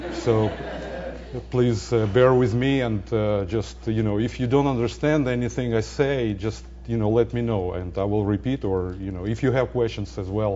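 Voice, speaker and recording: A man with a non-native accent at a fairly low pitch, moderate pace and ordinary pitch variation, with audible room echo and noticeable background noise. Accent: foreign accent, joking about it. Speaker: data center scientist. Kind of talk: lecture. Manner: halting, many fillers.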